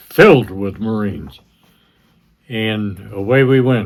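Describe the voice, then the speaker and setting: A man at a very slow pace, fairly low in pitch, with ordinary pitch variation. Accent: American. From Massachusetts, US. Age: 80s+. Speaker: oral history interviewee, Marine veteran. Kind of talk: oral history interview. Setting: library.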